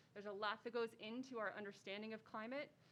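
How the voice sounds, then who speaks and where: A woman with an American accent, fairly high pitch and a fairly quick pace. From Utah. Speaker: biology professor. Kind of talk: lecture. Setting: live event with mics and Zoom. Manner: loud.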